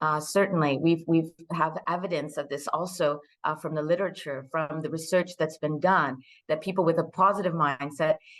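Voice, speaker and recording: A woman with an American accent speaks at a moderate pace. Her very deep, low pitch keeps a fairly even intonation. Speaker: work psychologist and company CEO. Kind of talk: online webinar presentation. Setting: live online session. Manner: many fillers and restarts.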